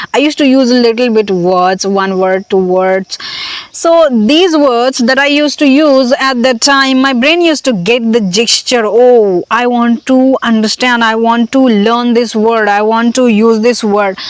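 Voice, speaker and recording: A woman with an Indian accent speaks at a fairly slow pace in a fairly high pitch. Her pitch variation is ordinary and her loudness very even. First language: Hindi. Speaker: language learning vlogger. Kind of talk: casual vlog monologue. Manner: halting, many fillers.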